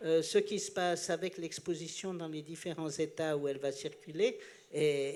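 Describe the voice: This man talks at a moderate pace with a fairly high pitch and ordinary pitch variation.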